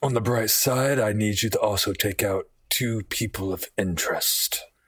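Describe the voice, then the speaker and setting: This man uses a put-on character voice at a medium pitch, with fairly even intonation and a moderate pace. The recording is very clean, with a silent background. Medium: actual play. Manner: blunt, profane.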